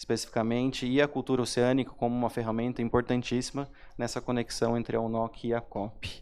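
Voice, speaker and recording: This is a man's voice at medium pitch. His intonation stays flat and monotone. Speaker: panel moderator, government science official. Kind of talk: panel moderation. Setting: seated on stage at a forum panel. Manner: informal, seated.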